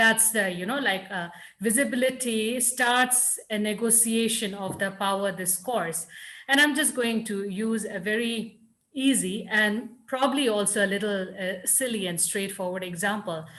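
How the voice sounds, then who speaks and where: In a Nagaland accent, a woman with a fairly high voice speaks at a moderate pace with ordinary pitch variation, and room echo is audible. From Nagaland, India. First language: Lotha. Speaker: writer and scholar. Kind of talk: panel discussion answer.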